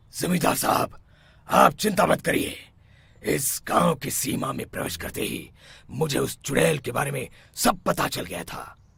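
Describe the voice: Doing a cartoonish character voice, a man speaks in a raspy, fairly high tone at a moderate pace.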